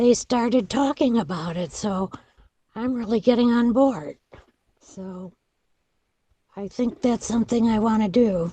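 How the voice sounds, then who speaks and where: At a fairly slow pace with long, frequent pauses, the somewhat breathy voice shows ordinary pitch variation and big swings in loudness. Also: woman. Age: 70s. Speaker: patient. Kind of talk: group video meeting discussion.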